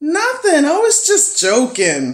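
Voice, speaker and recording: A squeaky, put-on character voice at an extremely high pitch comes with a New York accent as part of the act. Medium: read story. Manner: defensive, curt.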